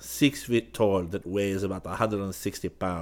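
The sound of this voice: The delivery is an unforced reading voice. Intonation stays fairly even.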